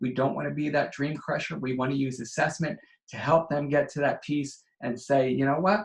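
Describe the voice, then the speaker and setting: Somewhat breathy, a man talks at a fairly quick pace. His fairly high pitch shows ordinary variation. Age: 40s. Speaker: educational consultant. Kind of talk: online training presentation. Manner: fast.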